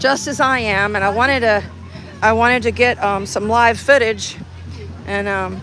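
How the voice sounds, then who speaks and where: With crowd noise in the background, a woman with an American accent talks at a moderate pace in a fairly high voice. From Texas. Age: 60s. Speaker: activist livestreamer. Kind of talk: casual chat. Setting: outdoors. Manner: halting.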